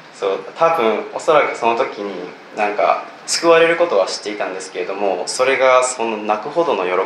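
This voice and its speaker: A man speaks at a fairly quick pace. The recording carries audible room echo and noticeable background noise. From Japan. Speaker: church member giving testimony. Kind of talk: testimony. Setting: church with audience.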